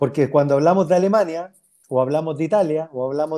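This man talks fairly quickly, his fairly high voice dark and mellow in tone, with fairly even intonation. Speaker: former professional footballer. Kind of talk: interview.

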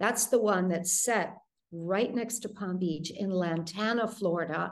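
A woman's plain, everyday voice at a medium pitch, fairly slow in pace, with ordinary pitch variation. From US Midwest, Detroit. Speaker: thriller author. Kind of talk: interview.

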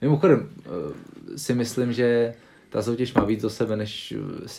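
A man talks in a dark, mellow tone with monotone, flat intonation. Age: 20s. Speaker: professional arm wrestler. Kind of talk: casual interview.

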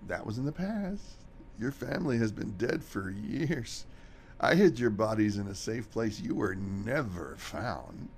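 A man's medium-pitched voice with very wide pitch swings at a moderate pace, over clear background noise. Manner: defiant then panicked.

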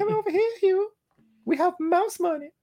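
A put-on character voice, squeaky and extremely high-pitched, speaks at a moderate pace in a playful tone. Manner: cartoonish, playful.

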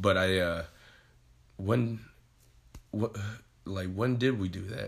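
In an American accent, a man with very deep, low pitch talks at a very slow pace, somewhat breathy, with ordinary pitch variation and long, frequent pauses. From Ohio, Sandusky. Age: 20s. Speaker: professional wrestler. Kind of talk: casual interview.

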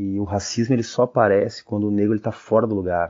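His intonation stays flat and monotone. The man's voice sits fairly low. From Porto Alegre, southern Brazil. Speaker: musician. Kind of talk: interview.

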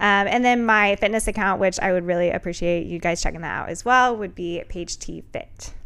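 On a very clean recording with a silent background, a woman in a plain, everyday voice talks at a fairly quick pace and medium pitch with ordinary pitch variation and hardly any pauses. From US Midwest (Carmel, Indiana). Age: 20s. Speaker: personal trainer. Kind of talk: casual chat. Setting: studio.

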